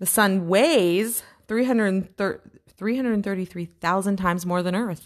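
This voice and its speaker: The tone is animated, with ordinary pitch variation at a moderate pace. The recording is very clean, and the background is silent. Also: woman, medium pitch for a woman. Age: 30s. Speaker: podcast co-host. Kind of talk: casual chat.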